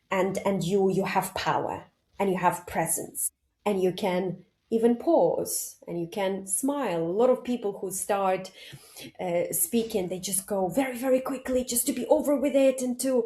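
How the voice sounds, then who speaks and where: On a very clean recording with a silent background, a woman with a dark, mellow, somewhat breathy voice talks at a moderate pace and medium pitch with ordinary pitch variation. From Ukraine. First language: Ukrainian or Russian. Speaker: public speaking coach. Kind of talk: podcast interview.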